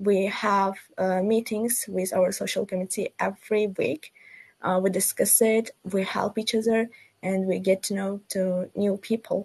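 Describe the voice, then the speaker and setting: A woman with a non-native accent speaks fairly slowly in a somewhat breathy, monotone voice with flat intonation. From Uzbekistan, Tashkent. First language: not English. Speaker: student ambassador. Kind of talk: webinar panel discussion. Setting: video call from Uzbekistan. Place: home room. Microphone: video call.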